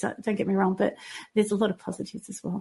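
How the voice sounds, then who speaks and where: A woman speaks at a medium pitch with an Australian accent and vocal fry. She talks very fast. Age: 50s. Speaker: fitness trainer and health coach. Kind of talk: interview.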